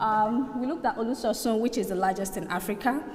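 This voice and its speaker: A woman speaks at a medium pitch with ordinary pitch variation. Room echo is audible, and so is background noise. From Nigeria. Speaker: student researcher presenter. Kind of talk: conference presentation.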